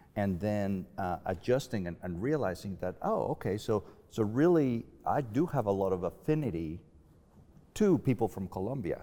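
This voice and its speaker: In a very clean recording with a silent background, a man with a Spanish accent speaks at a moderate pace and a fairly low pitch, his tone dark and mellow and his intonation lively. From Mexico. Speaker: professor. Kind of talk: panel discussion. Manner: halting, with frequent repetitions.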